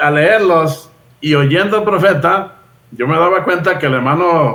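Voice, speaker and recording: There is audible room echo as a man speaks at a fairly slow pace in a high pitch with ordinary pitch variation. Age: 60s. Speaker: Bible teacher. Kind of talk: casual chat.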